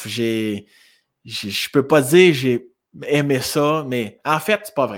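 On a very clean recording with a silent background, a man speaks with a Quebec accent. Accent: Québécois French. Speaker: suicide prevention fundraiser. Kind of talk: testimony. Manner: halting.

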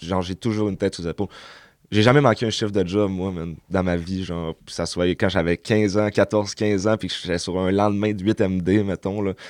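A man with an ordinary speaking voice talks at a moderate pace and a fairly low pitch, with fairly even intonation. The background is quiet. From Quebec, Saguenay (Chicoutimi). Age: 20s. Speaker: youth social worker, former addict. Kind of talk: personal testimony in interview.

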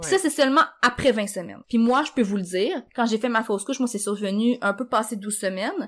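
At a fairly quick pace, a woman with a Quebec accent speaks with lively intonation. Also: fairly high pitch for a woman. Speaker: journalist and author sharing pregnancy loss. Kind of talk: testimony in casual chat.

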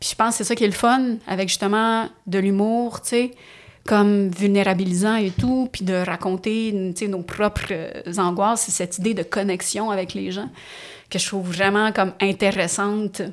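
In a Quebec accent, a woman speaks at a moderate pace. Her medium-pitched delivery keeps a fairly even intonation. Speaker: stand-up comedian and actress. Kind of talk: casual chat.

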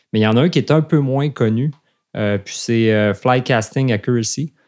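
With a Quebec accent, a man speaks at a medium pitch and moderate pace. His pitch varies in an ordinary way on a very clean recording with a silent background. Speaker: fly fishing instructor and podcast co-host. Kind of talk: casual chat.

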